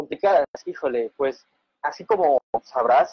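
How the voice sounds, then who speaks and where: A man's fairly high voice at a fairly slow pace, dry sound with no echo, quiet background. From coastal Mexico. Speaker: fluid simulation researcher. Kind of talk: casual interview. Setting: video call. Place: home room. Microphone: video call.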